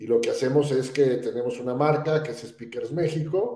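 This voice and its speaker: At a fairly slow pace, a man talks with fairly even intonation and a somewhat breathy voice, and audible room echo surrounds him. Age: 60s. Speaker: entrepreneur and speakers bureau founder. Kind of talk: podcast interview. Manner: hesitant fillers.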